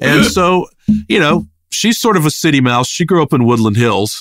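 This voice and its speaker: In a very clean recording with a silent background, a man with an American accent uses a normal speaking voice, lively intonation and a moderate pace. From Richmond, Virginia (US South). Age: 50s. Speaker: rock bassist. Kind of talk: casual interview chat.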